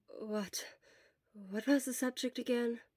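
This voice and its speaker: On a very clean recording with a silent background and a dry, close sound with no echo, a woman with a non-native accent speaks at a moderate pace with fairly even intonation. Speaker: fan fiction narrator. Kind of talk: reading aloud; casual chat. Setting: quiet room.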